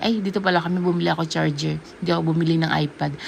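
Over noticeable background noise, a woman talks at a fairly quick pace in an animated tone with a fairly low pitch. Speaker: vlogger. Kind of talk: casual vlog chat.

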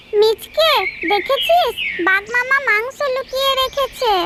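A squeaky, cartoonish character voice at an extremely high pitch drags along at a very slow pace over loud background noise. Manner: sly, playful.

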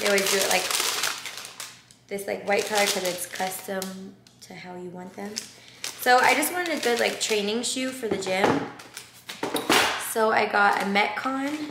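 Against loud background noise, a woman speaks at a moderate pace with ordinary pitch variation and long, frequent pauses. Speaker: vlogger. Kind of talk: casual vlog chat. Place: home room. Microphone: camera far.

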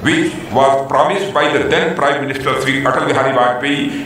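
Strong room echo and light background noise accompany a man's voice. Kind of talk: formal speech. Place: stadium.

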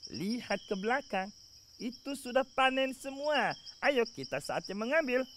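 Putting on a character voice, a man talks at an extremely high pitch and a fairly slow pace with lively intonation. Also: fairly bright tone.

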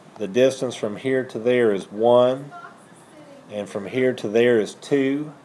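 Over light background noise, a man speaks at a fairly slow pace with fairly even intonation. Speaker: high school math teacher. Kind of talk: lecture. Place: classroom.

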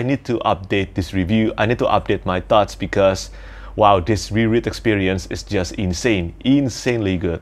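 A man talks with a fairly low pitch. His pace is moderate. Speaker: book reviewer. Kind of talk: casual vlog chat. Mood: enthusiastic. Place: home room. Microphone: lapel.

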